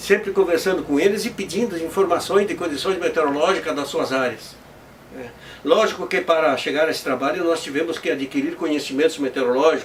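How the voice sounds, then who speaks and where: Through noticeable background noise, a man with a high voice talks at a fairly quick pace with ordinary pitch variation. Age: 60s. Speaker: amateur weather forecaster. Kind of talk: interview testimony. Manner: halting, with repetitions.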